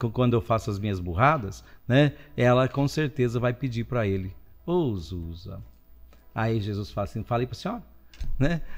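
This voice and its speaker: Over faint background music, a man speaks with lively intonation and long, frequent pauses. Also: moderate pace. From Brazil, interior of São Paulo state. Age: 60s. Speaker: guest priest. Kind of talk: casual chat. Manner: animated. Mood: warm, humorous. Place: studio. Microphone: studio mic.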